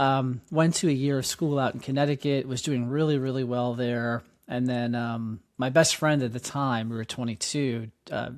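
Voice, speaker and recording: With a New York accent, the speaker keeps a moderate pace and fairly even intonation on a very clean recording with a silent background. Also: man, medium pitch for a man. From New York City (Queens). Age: 40s. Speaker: nonprofit founder and educator. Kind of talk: interview. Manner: halting, many fillers.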